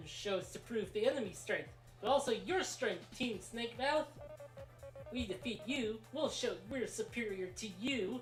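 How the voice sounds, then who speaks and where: A fairly high put-on character voice at a moderate pace, with clear music in the background. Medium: game stream. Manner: theatrical, grandiose.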